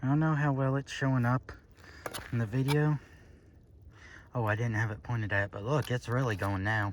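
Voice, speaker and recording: With a slight Southern US accent, a man speaks at a medium pitch. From Florida, US South. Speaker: vlogger. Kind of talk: casual vlog while walking outdoors. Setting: outdoors.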